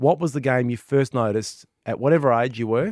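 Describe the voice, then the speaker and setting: In an Australian accent, a man is heard with a dry, close sound and no echo. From Western Australia. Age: 40s. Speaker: gaming podcast co-host. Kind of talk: casual chat. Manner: animated.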